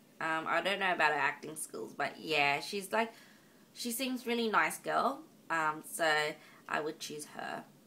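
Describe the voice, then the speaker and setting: With an Australian accent, a woman speaks at a fairly low pitch in a bright, sharp tone. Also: lively intonation, fairly slow pace. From Australia, Northern Territory. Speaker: vlogger. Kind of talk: casual vlog monologue. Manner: halting, many ums.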